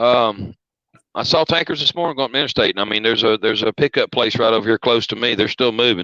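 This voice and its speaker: With a Southern accent, a man at medium pitch speaks at a very fast pace in a bright, sharp tone, keeping very even loudness and ordinary pitch variation in a dry, close sound with no echo. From US South. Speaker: truck driver. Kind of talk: casual chat.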